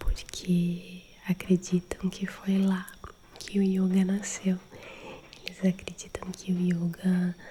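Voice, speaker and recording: Soft-spoken and calm in tone, a woman whispers against noticeable background noise. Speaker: ASMR creator and holistic therapist. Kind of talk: ASMR friendly chat for sleep. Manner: soft-spoken, whispery, calm.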